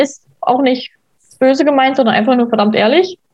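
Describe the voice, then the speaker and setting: A woman's voice with a high pitch. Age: 20s. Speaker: stepmother sharing her experience. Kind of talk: casual interview.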